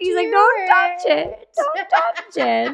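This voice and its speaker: This woman puts on a squeaky character voice. Her pitch is extremely high. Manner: yelling.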